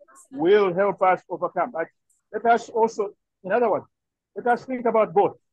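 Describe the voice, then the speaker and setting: Against a quiet background, a man with a high pitch talks at a moderate pace. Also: dry sound with no echo. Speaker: participant. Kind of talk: video call discussion. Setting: video call from workplace. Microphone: video call.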